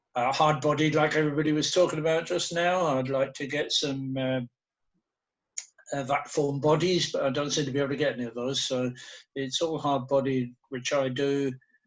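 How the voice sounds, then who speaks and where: Speaking with an English accent, a man delivers his words in a flat monotone. His pitch is fairly high and his pace is moderate. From England. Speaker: slot car hobbyist. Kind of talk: casual chat.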